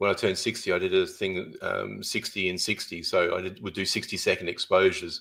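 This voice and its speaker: A man with an Australian accent talks at a fairly quick pace. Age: 60s. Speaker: photographer. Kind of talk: podcast interview.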